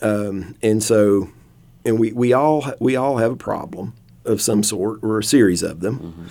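A man's fairly low-pitched, dark, mellow tone at a fairly slow pace, with ordinary pitch variation. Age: 50s. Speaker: licensed professional counselor. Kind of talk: casual interview. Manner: hesitant, many fillers.

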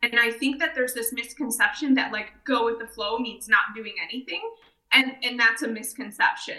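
An unremarkable speaking voice with an American accent, moderate pace, fairly even intonation and big swings in loudness. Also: woman, fairly high pitch for a woman. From southeast Michigan. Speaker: franchise development director. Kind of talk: casual interview chat.

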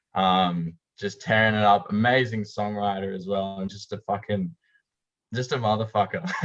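With an Australian accent, a man speaks at a moderate pace in a fairly low pitch, his intonation fairly even but his loudness swinging widely. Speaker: rock bassist. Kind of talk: casual chat.

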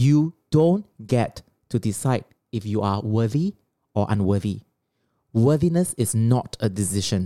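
A Singaporean accent at a very slow pace, with long, frequent pauses. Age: 40s. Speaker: podcast co-host. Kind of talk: lecture-style summary; casual chat. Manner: slower, deliberate.

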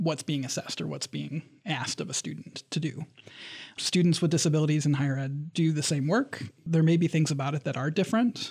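A fairly quick pace carries this somewhat breathy voice. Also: man, fairly high pitch for a man, ordinary pitch variation. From Michigan, Lansing area. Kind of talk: interview. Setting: studio.

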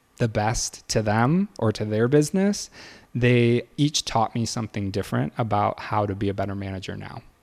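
An American-accented man speaks at a moderate pace with a fairly low pitch and an unremarkable speaking voice. The recording is very clean, the background silent. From Michigan, near Detroit. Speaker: realtor. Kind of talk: interview.

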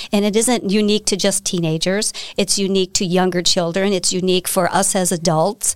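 Spoken at a moderate pace with an American accent, this is a very clean recording with a silent background. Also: woman. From Wisconsin, US. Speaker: business owner. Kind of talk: interview.

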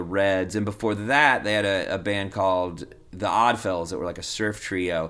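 In a Texan accent, a man speaks. The recording is very clean, with a silent background. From Texas. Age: 40s. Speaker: punk rock singer and comedian. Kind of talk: casual chat.

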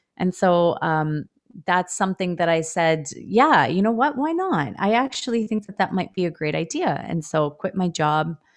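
A woman with a Canadian accent and a plain, everyday voice, fairly low in pitch, at a moderate pace with ordinary pitch variation, against a quiet background. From Ontario, Canada (Etobicoke, Toronto). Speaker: elementary school teacher. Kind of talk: casual interview chat.

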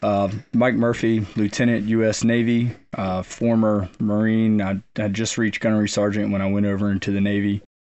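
Man's fairly low voice, monotone and flat, at a moderate pace. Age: 30s. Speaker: Navy officer and former Marine, combat wounded. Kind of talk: casual interview. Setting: on location at a rural camp.

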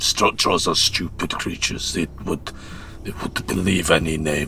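Over clear background noise, a man uses a put-on character voice with a very deep, low pitch and a fairly slow pace. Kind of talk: mock-theatrical declamation. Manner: grandiloquent, sardonic, rhyming verse.

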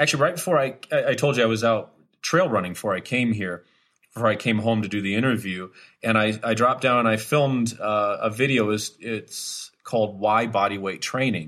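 This is an ordinary speaking voice, fairly quick, with typical pitch movement. The audio is very clean and the background is silent. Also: man, medium pitch for a man. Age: 40s. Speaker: fitness instructor. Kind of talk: interview.

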